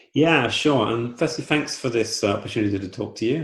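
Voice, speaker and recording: A man's pitch moves with ordinary variation. Noticeable noise fills the background. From southern England, Southampton. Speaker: football club co-owner. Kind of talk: interview. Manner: halting, many fillers.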